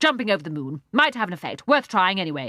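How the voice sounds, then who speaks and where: Delivered at a very fast pace, this put-on character voice sits at middle pitch with very wide pitch swings. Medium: read story. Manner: imperious, impatient.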